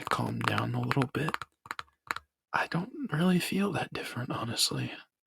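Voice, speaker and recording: A soft-spoken man whispers at a moderate pace. The sound is dry and close, with no echo. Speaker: ASMR artist and YouTuber. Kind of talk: ASMR talking and tapping, rambling casual talk to camera. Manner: whispered, soft-spoken.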